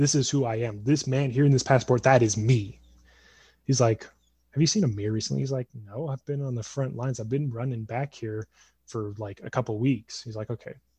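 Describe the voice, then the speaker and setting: At a fairly quick pace, the voice sounds somewhat breathy, with fairly even intonation. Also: man, medium pitch for a man. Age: 20s. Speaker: podcast host and mentor. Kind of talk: storytelling; casual interview chat.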